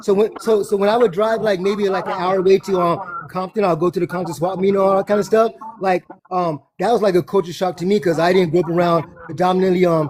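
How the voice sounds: A man with a Southern Californian accent talks at a very fast pace and a high pitch. His intonation stays fairly even, and there is noticeable background noise.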